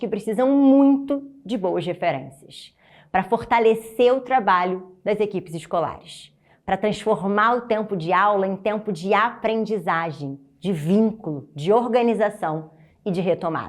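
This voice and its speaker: A warm-toned voice in a Rio de Janeiro accent, fairly slow, with ordinary pitch variation. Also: woman. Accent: carioca. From Rio de Janeiro, Brazil. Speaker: teacher trainer. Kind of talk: motivational presentation. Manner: warm, encouraging.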